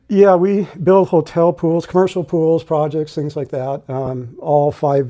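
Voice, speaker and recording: An unremarkable speaking voice with ordinary pitch variation and hardly any pauses. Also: man. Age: 60s. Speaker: construction worker, pool builder. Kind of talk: interview answer.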